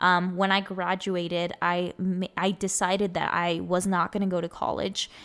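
In a Spanish accent, a woman speaks at a medium pitch with monotone, flat intonation. Her loudness stays very even, and the recording is very clean with a silent background. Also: moderate pace. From US Southwest, Arizona (South Phoenix). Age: 20s. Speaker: podcast host. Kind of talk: personal monologue.

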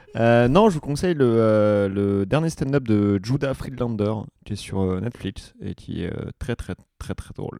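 This man has a dark, mellow tone and a medium pitch with ordinary pitch variation. He speaks fairly slowly, and his loudness swings widely. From Vienne, France. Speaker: comedian. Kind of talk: casual chat. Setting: studio.

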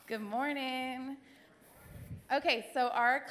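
Here a woman is speaking. Her pace is fairly slow. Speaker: church class leader. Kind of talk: church announcement. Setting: church with congregation. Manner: passionate.

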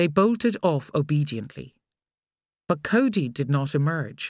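A woman speaks at a fairly slow pace in a low pitch with big pitch swings and a slightly mellow tone, on a very clean recording with a silent background.

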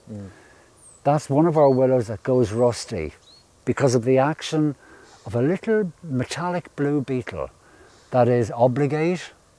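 A man with an Irish accent speaks at a medium pitch and a moderate pace with lively intonation and long, frequent pauses, the sound dry and close with no echo. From northern Ireland. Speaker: ecologist guide. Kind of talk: guided nature walk. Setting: outdoors.

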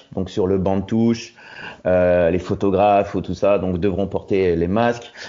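In fairly even intonation, a man with a fairly low pitch speaks at a very slow pace. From Roubaix, northern France. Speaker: expatriate correspondent. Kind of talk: interview. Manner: halting.

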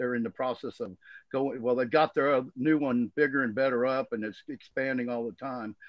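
With a Southern US accent, a man speaks at a medium pitch and a fairly quick pace. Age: 60s. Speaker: cannabis grower and blogger. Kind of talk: casual chat. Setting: video call.

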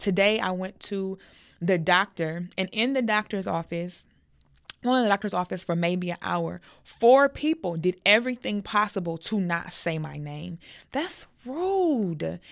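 A woman with an American accent speaks in a normal speaking voice at a fairly slow pace, with medium pitch and ordinary pitch variation. The recording is very clean, with a silent background. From United States. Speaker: podcast host. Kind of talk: casual chat.

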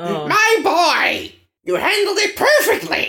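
A put-on character voice from a man, extremely high-pitched and fairly slow. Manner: proud, warm, praising.

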